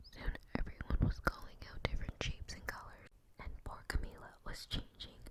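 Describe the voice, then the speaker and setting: The words come out as a whisper at a moderate pace. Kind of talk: ASMR read-aloud of children's books. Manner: soft-spoken, whispered.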